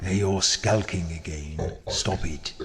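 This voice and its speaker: Putting on a character voice, a man speaks at a fairly slow pace with a very deep, low pitch against clear background noise. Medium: video game. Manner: dry, grumbling.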